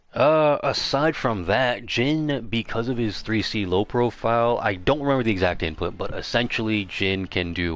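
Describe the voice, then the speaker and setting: Background music behind speech at a moderate pace, with ordinary pitch variation. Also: man. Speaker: fighting game player. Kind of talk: livestream game strategy lecture. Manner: casual, rambling.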